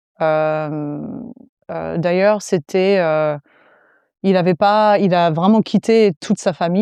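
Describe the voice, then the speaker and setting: A woman's fairly low voice with a dark, mellow tone, ordinary pitch variation and a fairly slow pace, in a dry, close sound with no echo. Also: very even loudness. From US, South Florida. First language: English (speaking French). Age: 30s. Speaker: fitness coach. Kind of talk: podcast interview.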